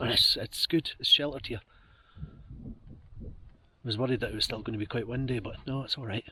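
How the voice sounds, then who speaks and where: With long, frequent pauses, a man talks in fairly even intonation. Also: medium pitch for a man, fairly quick pace. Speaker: outdoor vlogger. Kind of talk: vlog narration. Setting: outdoors on a mountain, in a tent.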